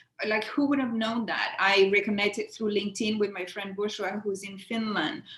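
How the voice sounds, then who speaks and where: Noticeable background noise accompanies a woman of medium pitch. She speaks at a moderate pace with fairly even intonation. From Latin America. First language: Spanish. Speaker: career speaker. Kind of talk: webinar interview.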